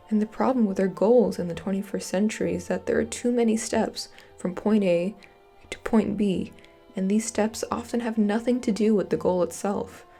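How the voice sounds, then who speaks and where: A woman speaks at a medium pitch and moderate pace with fairly even intonation. Music plays behind her. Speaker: college student. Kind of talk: video essay narration.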